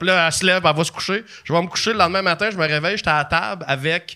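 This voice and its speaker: This man speaks very fast in a Quebec accent, with a fairly high pitch and ordinary pitch variation. His tone is bright and sharp. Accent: Québécois French. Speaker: comedian and documentary maker. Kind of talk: casual chat.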